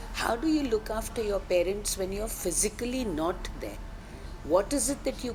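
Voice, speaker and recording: With music in the background, a woman talks at a moderate pace with lively intonation. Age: 60s. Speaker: company founder. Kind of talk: interview.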